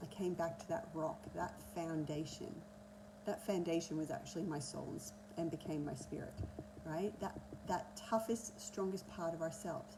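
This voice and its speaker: Against noticeable background noise and audible room echo, a woman speaks with an Australian accent. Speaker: energy healer and coach. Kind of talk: masterclass talk. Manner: fast.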